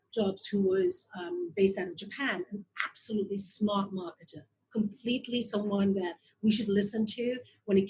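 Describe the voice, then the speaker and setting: A somewhat breathy woman's voice at a medium pitch and a moderate pace. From Belgium (Flanders). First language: Flemish (Dutch). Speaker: investor and marketing advisor. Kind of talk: interview.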